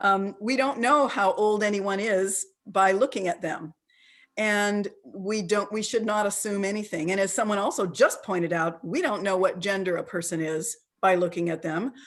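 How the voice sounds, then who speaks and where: A woman's unremarkable speaking voice, medium in pitch with ordinary variation, at a moderate pace. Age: 60s. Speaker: ageism expert and presenter. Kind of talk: interactive online talk. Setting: video call.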